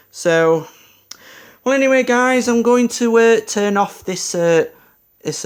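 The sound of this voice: A man speaks with a clear, smooth tone. His pitch varies in an ordinary way.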